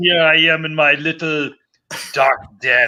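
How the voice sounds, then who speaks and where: A man with a German accent speaks in a fairly high pitch with fairly even intonation. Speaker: podcast guest, board game publisher.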